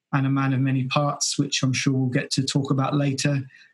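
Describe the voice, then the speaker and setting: The voice carries an English accent. It sounds somewhat breathy. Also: man. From England. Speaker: podcast host. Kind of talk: casual interview. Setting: video call.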